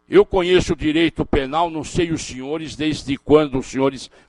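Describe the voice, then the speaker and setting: The man's fairly high voice moves at a moderate pace with ordinary pitch variation, the sound dry and close with no echo. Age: 60s. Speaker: criminal defense lawyer and law professor. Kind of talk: lecture. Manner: animated.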